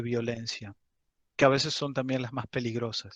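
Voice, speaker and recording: A man's voice in dry, close sound with no echo. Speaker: university teaching assistant. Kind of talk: lecture. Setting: video call. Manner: slow; halting.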